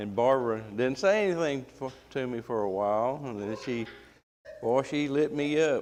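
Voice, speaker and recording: A man's medium-pitched voice in a Southern accent, with lively intonation at a moderate pace. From US South. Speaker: Bible class teacher. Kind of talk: Bible class lecture. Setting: church classroom, live stream. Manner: casual, folksy.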